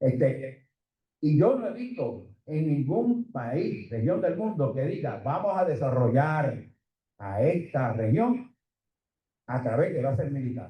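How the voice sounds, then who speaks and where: Amid audible room echo, a somewhat breathy, dark, mellow voice moves at a very slow pace with very wide pitch swings. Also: man, fairly high pitch for a man. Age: 70s. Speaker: economist. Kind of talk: conference presentation.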